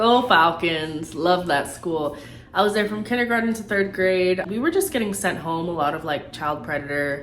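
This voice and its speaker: Against noticeable background noise, a woman talks with lively intonation. Audible room echo surrounds her voice. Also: fairly low pitch for a woman, moderate pace. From Tampa, Florida, with Puerto Rican family. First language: Spanish. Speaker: YouTuber. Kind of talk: casual Q&A vlog. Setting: at home. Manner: animated.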